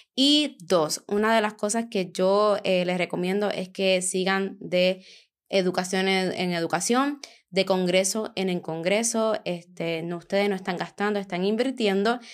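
A woman with a medium pitch talks at a fairly slow pace with ordinary pitch variation on a very clean recording with a silent background. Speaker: podcast host, eyelash extension educator. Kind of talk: casual chat. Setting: recording together at a meal in Spain. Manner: animated.

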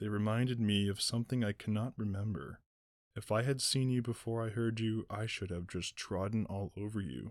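This man has a normal speaking voice with a fairly low pitch and ordinary pitch variation. The recording is very clean, with a silent background. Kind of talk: sleep story read aloud, dramatic narration with character voices. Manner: unhurried, with long pauses and hypnotic gentle cadence.

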